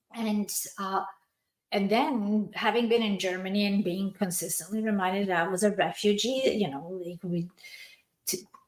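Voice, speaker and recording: Speaking at a moderate pace, a woman holds a medium pitch with ordinary variation. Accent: non-native. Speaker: podcast host, entrepreneur. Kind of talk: personal story in casual podcast chat.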